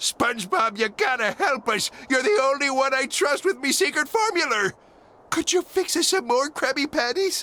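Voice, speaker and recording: A gruff put-on character voice. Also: man, extremely high pitch for a man, moderate pace. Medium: video game. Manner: gruff, pirate-flavored speech.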